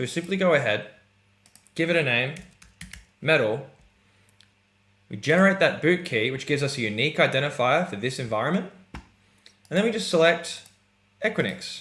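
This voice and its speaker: A man's fairly high voice in an Australian accent, lively in intonation, at a moderate pace with long, frequent pauses. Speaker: software product presenter. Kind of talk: product demo tutorial. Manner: casual, upbeat.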